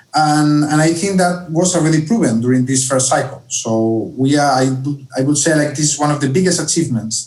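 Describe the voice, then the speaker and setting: Speaking with a Spanish accent, a man uses a fairly high, somewhat breathy voice with ordinary pitch variation and very even loudness. He talks at a fairly quick pace with hardly any pauses, and audible room echo surrounds him. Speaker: education policy analyst. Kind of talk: online conference Q&A.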